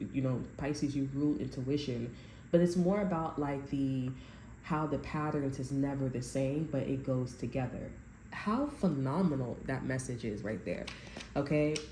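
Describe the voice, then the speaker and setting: A woman's voice sounds somewhat breathy, with a very deep, low pitch and a dark, mellow tone. Audible room echo surrounds it. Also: ordinary pitch variation, moderate pace. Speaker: tarot reader. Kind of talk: tarot reading to camera. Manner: halting, many restarts.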